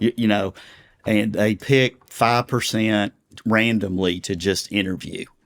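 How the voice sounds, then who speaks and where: A man's fairly low-pitched voice in a Texan accent, fairly slow in pace and fairly even in intonation, with a dry, close sound and no echo. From Texas. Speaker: pastor. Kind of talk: interview. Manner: conversational.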